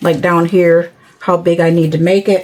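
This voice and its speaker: Noticeable background noise sits behind a woman talking. Her pitch is fairly low and her pace is moderate. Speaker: craft tutorial creator. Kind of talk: tutorial. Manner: hesitant.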